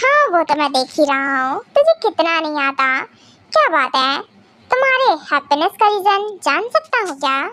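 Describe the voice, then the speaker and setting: Using a put-on character voice, a woman talks at a moderate pace, her extremely high pitch swinging very widely. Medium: solo performance. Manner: teasing, affectionate.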